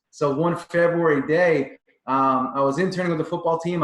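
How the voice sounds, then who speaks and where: With a Long Island accent, a man talks at a moderate pace in a fairly high pitch with ordinary pitch variation. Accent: Long Island New York. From Long Island, New York. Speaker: performance coach. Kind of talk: interview.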